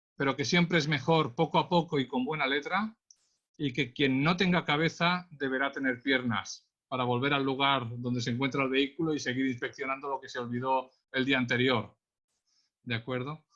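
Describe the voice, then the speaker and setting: A man with a Catalan accent speaks in a bright, sharp tone at a fairly high pitch, with ordinary pitch variation and a moderate pace. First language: Catalan (speaking Spanish). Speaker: traffic police accident investigator. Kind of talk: webinar presentation. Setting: online webinar.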